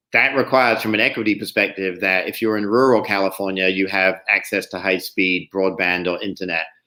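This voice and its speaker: Fairly even intonation in an English accent, at a fairly quick pace with hardly any pauses. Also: man, fairly low pitch for a man. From England. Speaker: state climate policy official. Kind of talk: panel discussion.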